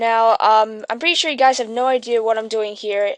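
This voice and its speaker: In a quiet background with a dry, close sound and no echo, a woman speaks at a fairly high pitch. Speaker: animation tutorial maker. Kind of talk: tutorial. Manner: fast; halting.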